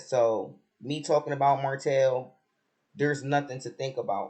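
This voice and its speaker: A man talks at a fairly slow pace and a medium pitch. His voice is somewhat breathy. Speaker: reality TV commentator, vlogger. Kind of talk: casual vlog commentary. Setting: at home on vacation.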